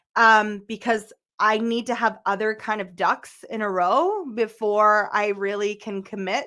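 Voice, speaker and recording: Loud and animated, a woman talks at a fairly slow pace in a bright, sharp tone at a fairly high pitch with ordinary pitch variation, on a very clean recording with a silent background. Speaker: tarot reader. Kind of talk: live stream tarot reading.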